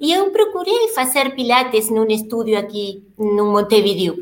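A woman talks at a very slow pace, her pitch swinging very widely. Room echo is audible. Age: 50s. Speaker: Pilates instructor and studio owner. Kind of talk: interview.

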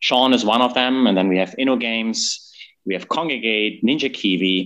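Speaking with a German accent, a man has a bright, sharp tone and a medium pitch. He keeps a moderate pace over a quiet background. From Germany. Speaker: gaming company executive. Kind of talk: interview.

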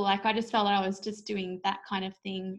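A woman's medium-pitched voice with an Australian accent. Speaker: author and school teacher. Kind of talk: casual interview.

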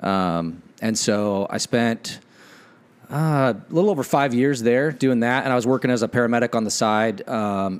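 With an American accent, this man has an ordinary speaking voice at medium pitch with ordinary pitch variation. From Washington State (Ephrata). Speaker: fire captain. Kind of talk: casual chat. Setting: friend's living room.

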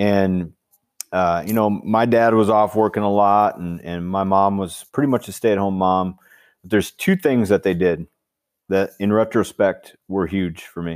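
A man with an Upper Midwest accent talks at a moderate pace in a fairly low pitch, his intonation fairly even and his loudness swinging widely. The recording is very clean, with a silent background. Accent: Upper Midwest (Minnesota). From Minnesota, small river town in the southeast. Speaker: high school football coach and author. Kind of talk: interview.

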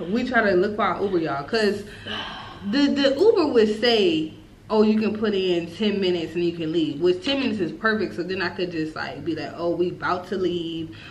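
A woman talks at a fairly quick pace with lively intonation and a medium pitch. Audible room echo and noticeable background noise sit behind her voice. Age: 20s. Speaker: podcast co-host. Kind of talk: casual chat, storytime.

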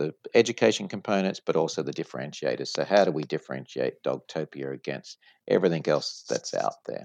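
An Australian-accented man at a moderate pace, the sound dry and close with no echo. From Sydney, Australia. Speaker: franchise company executive. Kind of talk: interview.

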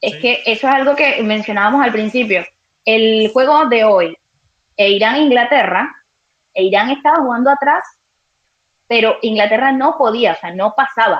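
A woman speaks with a fairly high pitch and ordinary pitch variation. Her pace is moderate, broken by long, frequent pauses. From Venezuela. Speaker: sports journalist. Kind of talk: live sports talk show.

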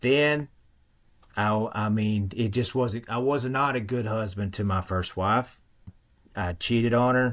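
The speaker has a strong Western Kentucky accent and talks at a very slow pace. The recording is very clean, with a silent background. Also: man. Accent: thick Western Kentucky. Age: 40s. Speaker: former Marine and firefighter, fitness coach. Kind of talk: personal testimony in interview.

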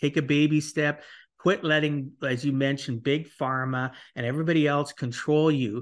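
The man has a normal speaking voice, fairly high in pitch, with fairly even intonation. He speaks at a moderate pace against a quiet background. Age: 50s. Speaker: podcast host and financial planner. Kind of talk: interview podcast.

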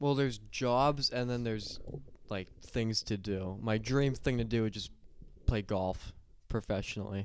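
A man speaks in a plain, everyday voice at a medium pitch, with fairly even intonation and a fairly slow pace. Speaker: podcast guest. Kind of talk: casual chat.

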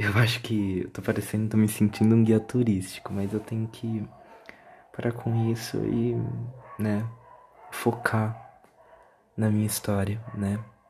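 A man speaks at a fairly slow pace in a fairly low, somewhat breathy voice with monotone, flat intonation and long, frequent pauses. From Brazil, São Paulo city. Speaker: podcaster. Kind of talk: casual monologue.

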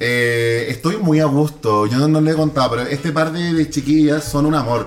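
A man with a Chilean accent and fairly high pitch, at a moderate pace with hardly any pauses, over noticeable background noise. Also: ordinary pitch variation. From Chile, San Antonio coast. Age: 20s. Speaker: TikToker. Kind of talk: casual chat. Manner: animated.

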